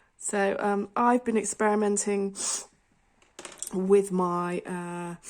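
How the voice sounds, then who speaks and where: Speaking with a British accent, a woman holds a medium pitch and a monotone, flat intonation. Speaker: colouring video creator. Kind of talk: casual chat.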